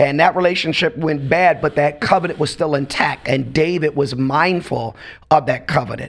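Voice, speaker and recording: An unremarkable speaking voice keeps to a moderate pace, its pitch varying in an ordinary way. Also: man, fairly high pitch for a man. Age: 50s. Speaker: pastor. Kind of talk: casual chat.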